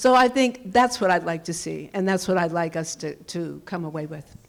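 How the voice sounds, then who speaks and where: A woman talks at a fairly quick pace, her pitch swinging very widely, as noticeable background noise plays behind her. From US South, Louisiana (Baton Rouge). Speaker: community leader. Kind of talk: panel discussion.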